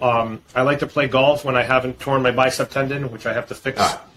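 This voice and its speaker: Using a plain, everyday voice with an American accent, a man talks fairly quickly at a medium pitch with fairly even intonation. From US Northeast, Boston. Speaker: fintech founder and CEO. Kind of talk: interview.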